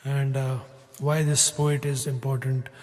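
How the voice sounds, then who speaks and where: A man talks at a moderate pace and a medium pitch, with noticeable background noise present. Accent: Kashmiri. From Kashmir. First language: Kashmiri. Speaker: singer-songwriter. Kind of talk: spoken introduction between songs. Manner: halting, many fillers.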